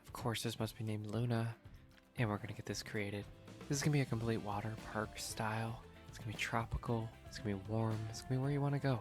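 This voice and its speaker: With music in the background, a soft-spoken voice moves at a very fast pace. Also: man, medium pitch for a man, ordinary pitch variation. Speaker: gaming ASMR sleep channel host. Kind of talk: sleep-aid gameplay commentary.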